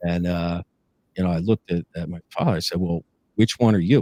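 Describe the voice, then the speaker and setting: A man talks at a very fast pace with an American accent. The sound is dry and close, with no echo. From northern New Jersey. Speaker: police lieutenant turned ex-inmate. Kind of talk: interview testimony. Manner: halting, many fillers.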